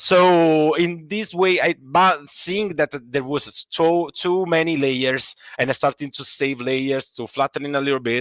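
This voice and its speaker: A man with an Italian accent at a fairly slow pace, fairly high in pitch with ordinary variation, in a dry, close sound with no echo. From Italy. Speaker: comic artist. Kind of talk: interview. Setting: live stream. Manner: halting.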